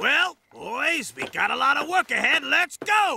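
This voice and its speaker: A man uses a cartoonish character voice at an extremely high pitch and a fairly slow pace. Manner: bullying, barking, contemptuous.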